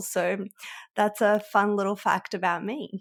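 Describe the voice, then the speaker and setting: A woman at a moderate pace, in an Australian accent. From Australia (arrived at nine from Europe). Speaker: sales coach. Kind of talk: interview podcast.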